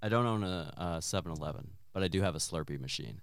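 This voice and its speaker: A man with an American accent talks at a moderate pace. His voice sits very deep and low in pitch. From southwest Virginia, US. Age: 40s. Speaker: actor and new stand-up comic. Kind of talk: casual interview chat. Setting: studio, basement recording.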